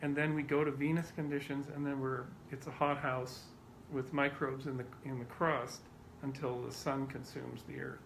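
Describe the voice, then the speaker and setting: Audible room echo surrounds a man with a fairly high pitch. His somewhat breathy voice moves at a moderate pace. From Canada. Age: 50s. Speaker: scientist. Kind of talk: interview.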